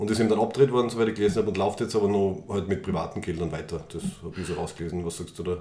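Fairly low in pitch, a man talks with a dark, mellow tone. His pace is very fast. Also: ordinary pitch variation. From Austria, Styria. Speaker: podcast co-host. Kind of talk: casual chat. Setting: studio, face to face.

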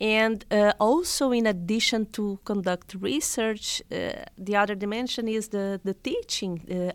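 A woman at medium pitch with a Portuguese accent speaks with hardly any pauses and ordinary pitch variation. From Brazil. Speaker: historian, professor. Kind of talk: interview. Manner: halting, many fillers.

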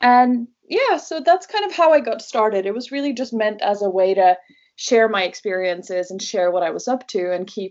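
A woman at a moderate pace with lively intonation. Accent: Norwegian. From Norway. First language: Norwegian. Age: 20s. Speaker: travel blogger. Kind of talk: casual interview chat.

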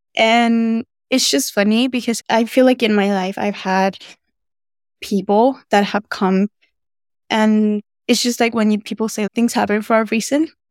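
In a very clean recording with a silent background and a dry, close sound with no echo, a woman with a Spanish accent and fairly high pitch speaks at a fairly slow pace with fairly even intonation and long, frequent pauses. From Venezuela. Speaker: university student intern. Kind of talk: casual chat.

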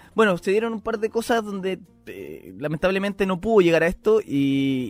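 A man's high-pitched voice with a Chilean accent and ordinary pitch variation, music in the background. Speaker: podcast co-host. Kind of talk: casual chat. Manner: halting, repeats words.

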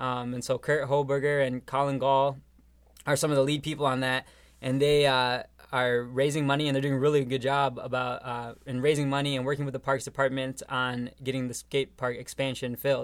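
A man speaks at a fairly quick pace with an American accent. His intonation is monotone and flat. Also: medium pitch for a man. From Rochester, Minnesota. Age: 20s. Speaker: young professionals group leader. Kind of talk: podcast interview.

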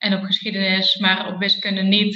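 Her pitch sits at a medium level for a woman. The intonation stays flat and monotone throughout. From Eindhoven, Netherlands. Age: 30s. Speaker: behavioural scientist. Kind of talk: casual interview. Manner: hesitant, many fillers.

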